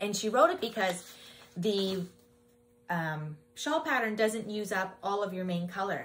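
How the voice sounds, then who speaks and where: At a moderate pace, a speaker in a Canadian accent uses an ordinary speaking voice with ordinary pitch variation. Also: woman. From Ontario, Canada. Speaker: knitting podcaster and yarn dyer; knitting podcaster. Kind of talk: casual podcast talk to camera. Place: shop.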